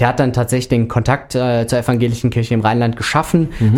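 On a very clean recording with a silent background, a man with a Rhineland accent speaks at a fairly quick pace. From Rhineland, Germany. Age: 30s. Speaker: sports volunteer. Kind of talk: casual interview. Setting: radio studio.

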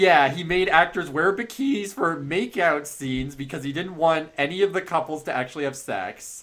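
A man with an American accent talks at a moderate pace with lively intonation and hardly any pauses. He has a plain, everyday voice. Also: fairly high pitch for a man. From US West Coast, Bay Area (Marin County). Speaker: podcast host. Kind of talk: casual chat.

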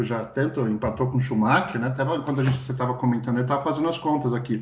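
A man speaks here. His medium-pitched voice shows ordinary pitch variation. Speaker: podcast co-host. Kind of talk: casual chat.

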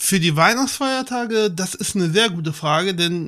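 Bright and sharp, this man's voice stands out. It sits high in pitch. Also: very clean recording, silent background. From Lower Saxony, Germany. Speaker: film enthusiast guest. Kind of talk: casual chat. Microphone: too quiet.

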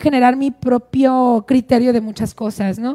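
Her pitch high and her tone dark and mellow, a woman speaks in a dry, close sound with no echo. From Sonora, Mexico; also Sinaloa and Phoenix. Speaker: journalist. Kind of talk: casual chat.

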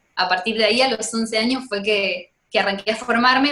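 A fairly slow, fairly high-pitched woman's voice in a Rioplatense accent, with ordinary pitch variation. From Argentina. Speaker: singer and vocal teacher. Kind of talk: casual interview chat.

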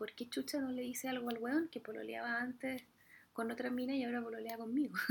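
In a Chilean accent, a woman talks at a very fast pace with a high pitch. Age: 30s. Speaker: podcast host and Spanish teacher. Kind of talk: solo monologue podcast. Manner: casual, with laughs. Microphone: poor audio quality.

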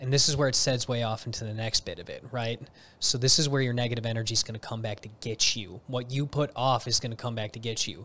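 A man's bright, sharp voice with an American accent at a very fast pace, fairly even in intonation, on a very clean recording with a silent background. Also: medium pitch for a man. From northern Illinois, Chicago suburbs. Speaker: podcast guest, jiu-jitsu practitioner. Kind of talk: casual chat.

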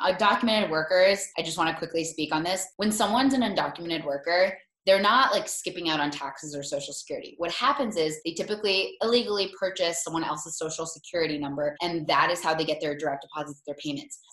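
A woman with an American accent, fairly low in pitch, with ordinary pitch variation and noticeable background noise. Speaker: food blogger and former line cook. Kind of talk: casual interview. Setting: video call.

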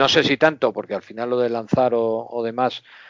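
A man's medium-pitched voice at a fairly slow pace. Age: 50s. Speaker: baseball fan and podcast guest. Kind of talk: casual chat.

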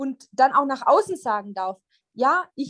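The sound is dry and close, without any echo. A woman talks in a high voice. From Germany. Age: 30s. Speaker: psychologist. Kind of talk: casual interview chat.

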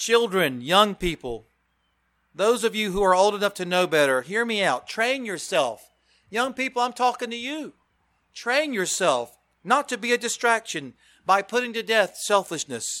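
In a raised, projected voice, a man speaks with a high pitch, a bright, sharp tone and very wide pitch swings. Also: moderate pace. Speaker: preacher. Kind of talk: sermon. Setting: church.

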